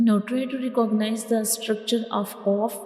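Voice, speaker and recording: With noticeable noise behind her, a female speaker talks at a fairly high pitch. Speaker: Quran teacher. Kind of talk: online Quran lesson, teaching Arabic letters. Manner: slow, clear, repetitive.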